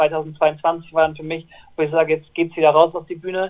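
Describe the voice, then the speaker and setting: A man's high-pitched, monotone voice with flat intonation at a fairly quick pace. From northern Germany, Lower Saxony near Bremen/Oldenburg. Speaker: pop singer. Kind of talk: interview. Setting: phone call.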